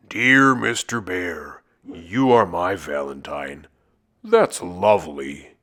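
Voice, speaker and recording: In a put-on character voice, a man booms out raspy words in a very deep, low pitch at a very slow pace on a very clean recording with a silent background. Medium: read story.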